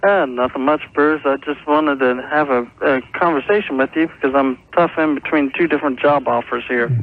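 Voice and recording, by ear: A man speaks at a medium pitch with ordinary pitch variation. His pace is fairly quick.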